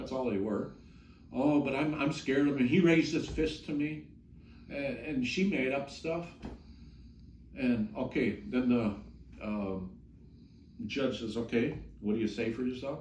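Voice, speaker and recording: A man's medium-pitched voice with vocal fry, fairly slow with long, frequent pauses and ordinary pitch variation, in audible room echo. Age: 60s. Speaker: ex cult member's husband. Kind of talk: interview testimony. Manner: halting.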